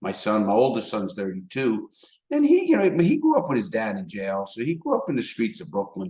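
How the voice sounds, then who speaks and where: A man talks at a fairly quick pace. He has a strong New York accent. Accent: thick New York. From New York City, the Bronx. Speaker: former criminal turned motivational speaker. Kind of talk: casual interview. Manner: repetitive, stammering starts.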